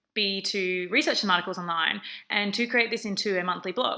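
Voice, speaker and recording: With an Australian accent, a woman speaks at a medium pitch in a bright, sharp tone. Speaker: research assistant. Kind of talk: conference presentation. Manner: frequent fillers (um).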